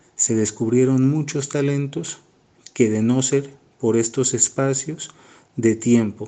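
Man's medium-pitched voice, dark and mellow in tone, fairly even in intonation, at a very slow pace. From Colombia, Pasto (Nariño). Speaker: art teacher and airbrush artist. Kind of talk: interview.

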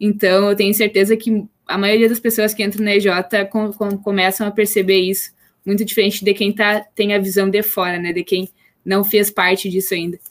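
At a moderate pace, a woman with a medium pitch talks in a monotone, flat intonation, recorded very cleanly with a silent background. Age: 20s. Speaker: engineering student, former student company president. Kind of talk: casual chat.

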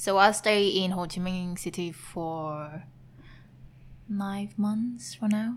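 A woman's medium-pitched, somewhat breathy voice with a Vietnamese accent, very slow pace, fairly even intonation and long, frequent pauses. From Vietnam, Hanoi. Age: 20s. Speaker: vegan food entrepreneur. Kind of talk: casual interview. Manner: giggly.

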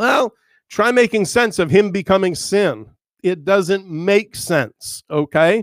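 In a very clean recording with a silent background and a dry, close sound with no echo, a man speaks very slowly at a high pitch with ordinary pitch variation. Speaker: podcast host and Bible teacher. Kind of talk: Bible teaching monologue.

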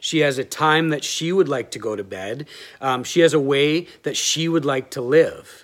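On a very clean recording with a silent background, a normal speaking voice keeps a moderate pace and shows ordinary pitch variation. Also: man, fairly high pitch for a man. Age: 30s. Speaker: pastor. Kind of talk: sermon.

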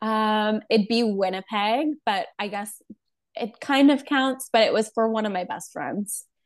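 A woman speaks at a fairly slow pace in a normal speaking voice against a quiet background. Her pitch is fairly high, with ordinary pitch variation. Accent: Canadian. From Alberta, Canada (Calgary). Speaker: makeup artist and entrepreneur. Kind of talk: casual interview.

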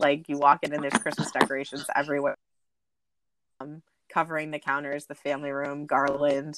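Talking at a fairly quick pace with long, frequent pauses, a woman with a very deep, low pitch speaks in a monotone, flat intonation with big swings in loudness, in a dry, close sound with no echo. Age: 40s. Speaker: corporate trainer. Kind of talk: casual chat. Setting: video call. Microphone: poor sound quality.

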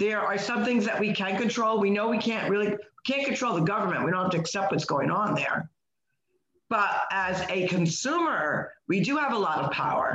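A woman's normal speaking voice at medium pitch, with lively intonation, a moderate pace and very even loudness. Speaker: podcast host. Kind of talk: casual chat.

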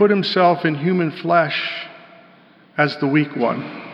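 Speaking very slowly with a General American accent and fairly even intonation, a man is heard over noticeable background noise. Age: 60s. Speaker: pastor. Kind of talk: sermon. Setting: church.

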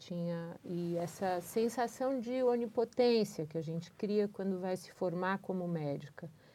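A woman speaks with a dark, mellow tone. Her pitch is medium, with ordinary variation. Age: 50s. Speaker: doctor. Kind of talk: casual chat.

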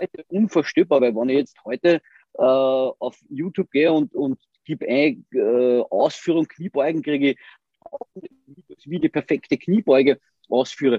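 A man talks at a moderate pace in a fairly high pitch. His intonation is lively. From Austria. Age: 30s. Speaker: bodybuilder and gym owner. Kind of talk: casual interview. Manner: halting, many repeated words.

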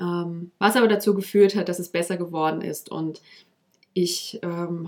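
Slow-paced, fairly so, a woman talks in a fairly low pitch with monotone, flat intonation. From German region near the French border. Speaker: podcast host, personal development coach. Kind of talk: solo podcast monologue, personal storytelling.

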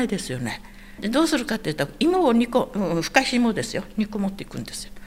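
Against noticeable background noise, a woman's voice swings very widely in pitch. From Okinawa, Itoman. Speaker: Okinawan elder sharing local history. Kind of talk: interview, casual storytelling.

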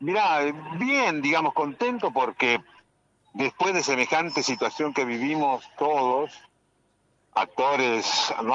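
Here a man talks at a very slow pace. His pitch variation is ordinary. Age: 60s. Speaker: actor. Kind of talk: radio interview. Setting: phone call. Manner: halting.

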